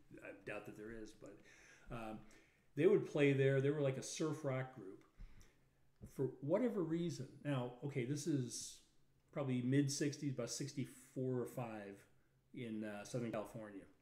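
Against a quiet background with audible room echo, a man with an American accent and a medium-pitched, dark, mellow voice speaks at a fairly slow pace, with long, frequent pauses, big swings in loudness and ordinary pitch variation. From Chicago, North Side; Chicago. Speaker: lawyer, podcast co-host. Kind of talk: casual chat. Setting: live stream. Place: home room.

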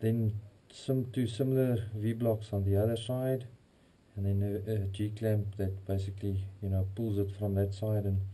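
This man talks at a moderate pace in a fairly low pitch, his somewhat breathy voice carrying a dark, mellow tone. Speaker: hobby machinist YouTuber. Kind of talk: workshop tutorial; casual workshop tutorial chat. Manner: casual, hesitant with fillers. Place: workshop. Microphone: bad audio, camera in waterproof housing; camera far.

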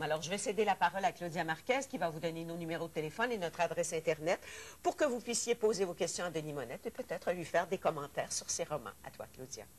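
A woman talks in a plain, everyday voice at a fairly low pitch. She moves at a fairly quick pace with lively intonation. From Quebec. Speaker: TV host. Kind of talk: TV talk show. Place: studio. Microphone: lapel.

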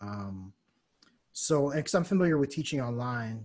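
At a moderate pace, a man talks against a quiet background. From United States. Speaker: jazz saxophonist and music teacher. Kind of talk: casual interview. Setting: video call. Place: home room. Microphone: studio mic.

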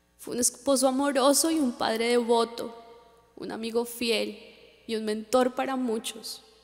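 A woman speaks at a high pitch with fairly even intonation and a fairly slow pace. Music plays in the background. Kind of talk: memorial speech. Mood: solemn, emotional. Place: stage.

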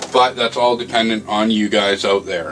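A man keeps a moderate pace while noticeable noise sounds in the background. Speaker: hobbyist maker vlogger. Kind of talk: casual vlog chat. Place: workshop. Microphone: camera far.

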